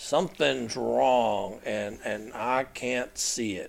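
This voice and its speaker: A man puts on a raspy character voice at medium pitch and speaks at a very slow pace. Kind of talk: colloquial. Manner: folksy, casual, worried.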